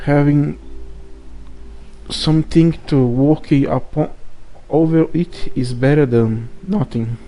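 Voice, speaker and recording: The speech comes at a very slow pace with long, frequent pauses. It is delivered in a Brazilian accent. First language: Portuguese. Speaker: gaming YouTuber. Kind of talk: casual monologue. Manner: halting.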